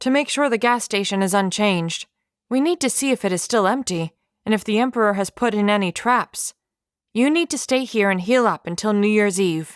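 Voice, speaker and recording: Captured in a very clean recording with a silent background, a female-sounding put-on character voice at a medium pitch moves at a fairly quick pace. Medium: read story. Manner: practical, earnest.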